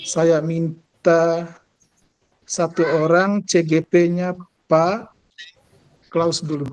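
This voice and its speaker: A man speaks at a very slow pace with long, frequent pauses, high pitch and monotone, flat intonation. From Indonesia, East Manggarai, Flores. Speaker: school principal and teacher-training facilitator. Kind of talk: online training session facilitation. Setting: video call.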